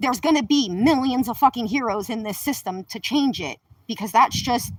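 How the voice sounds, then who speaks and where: On a very clean recording with a silent background, a woman speaks at a high pitch in an animated tone, with lively intonation and a fairly quick pace. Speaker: livestreamer. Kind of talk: livestream monologue. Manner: fast.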